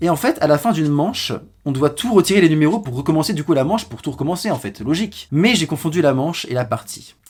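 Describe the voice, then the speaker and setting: Very fast in pace, this voice has lively intonation and an animated tone, heard in a very clean recording with a silent background. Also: man. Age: young. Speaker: YouTuber. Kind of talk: storytime monologue.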